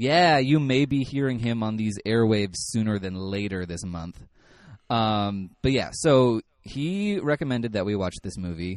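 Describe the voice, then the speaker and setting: Against a quiet background, a man with a normal speaking voice talks at a fairly low pitch and a moderate pace with lively intonation. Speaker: horror podcast host. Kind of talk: casual interview chat.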